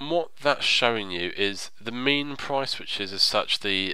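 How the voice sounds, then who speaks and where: A man speaks fairly slowly at a medium pitch, his pitch varying in an ordinary way, with noticeable noise in the background. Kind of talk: tutorial narration, screen-recorded game guide. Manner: explanatory, conversational.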